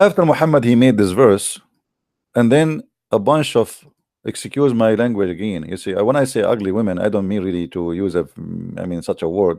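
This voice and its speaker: On a very clean recording with a silent background, a man talks at a fairly quick pace in a fairly low voice with a dark, mellow tone and lively intonation. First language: not English. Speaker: religious debater. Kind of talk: live debate show.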